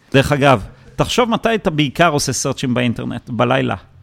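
A man speaks with lively intonation. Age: 40s. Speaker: tech entrepreneur and investor. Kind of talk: interview. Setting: office. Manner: halting, many repetitions.

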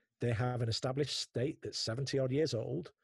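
Speaking at a fairly slow pace, a man has a medium pitch, ordinary pitch variation, and a somewhat breathy voice, recorded with a dry, close sound and no echo. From northern England, Manchester. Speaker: podcast host. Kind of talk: interview conversation. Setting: remote call from home office. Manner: animated.

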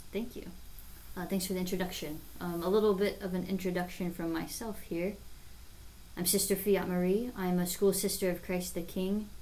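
A woman speaks in a dark, mellow tone at a medium pitch and moderate pace. Her intonation is monotone and flat, with audible room echo. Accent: American. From Nebraska, US Midwest. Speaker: religious sister and teacher. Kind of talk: casual podcast chat.

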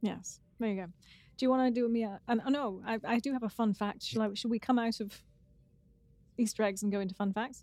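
The speaker rattles along at a very fast pace in a dark, mellow tone, playful yet with fairly even intonation. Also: woman, fairly high pitch for a woman. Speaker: podcast co-host. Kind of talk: casual podcast chat, episode recap. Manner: playful, joking.

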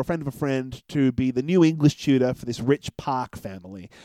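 Speaking at a fairly quick pace with an Australian accent, a man has a fairly high pitch, a dark, mellow tone and ordinary pitch variation, in a dry, close sound with no echo on a very clean recording with a silent background. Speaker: podcast host, film reviewer. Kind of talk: casual chat.

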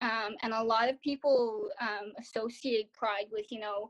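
With a Canadian accent, a woman speaks at a fairly high pitch and a fairly slow pace, the sound dry and close with no echo. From Ottawa, Canada. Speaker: student, adoptee. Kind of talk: interview. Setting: remote call.

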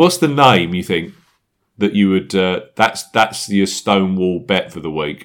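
A man speaks with a London accent at a fairly slow pace. His pitch sits fairly low. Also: ordinary pitch variation, very clean recording, silent background. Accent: English, likened to Michael Caine. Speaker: golf betting podcast host. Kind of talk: casual chat.

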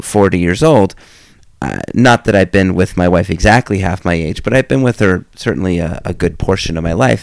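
A man with a very deep, low pitch and ordinary pitch variation, in a dry, close sound with no echo. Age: 30s. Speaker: podcast host. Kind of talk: casual monologue about books. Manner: hesitant, many fillers.

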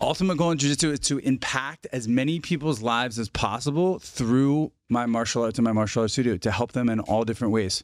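In a normal speaking voice at medium pitch, a man talks at a fairly quick pace with ordinary pitch variation and hardly any pauses, the sound dry and close with no echo. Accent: American. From New Jersey. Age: 40s. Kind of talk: casual interview chat.

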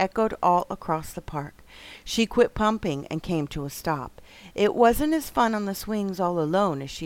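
Lively intonation over plain reading aloud.

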